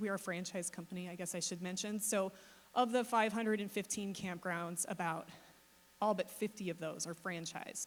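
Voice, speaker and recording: A woman with an unremarkable speaking voice, medium pitch and a fairly quick pace. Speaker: company CEO, panelist. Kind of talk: panel talk.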